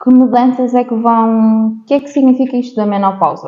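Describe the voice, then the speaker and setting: At a moderate pace, a woman talks. Her pitch is high. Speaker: podcast host. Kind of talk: interview podcast.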